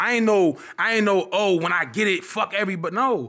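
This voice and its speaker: Projecting a raised voice, a man speaks at a high pitch in a bright, sharp tone. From Newark area, New Jersey. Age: 20s. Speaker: social media comedian. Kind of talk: casual chat.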